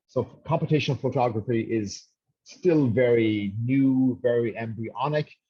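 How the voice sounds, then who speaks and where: A man's somewhat breathy, medium-pitched voice at a moderate pace, with ordinary pitch variation. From Ireland, rural west coast. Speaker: professor. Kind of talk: webinar lecture. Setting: online webinar. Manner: hesitant, many fillers and repetitions.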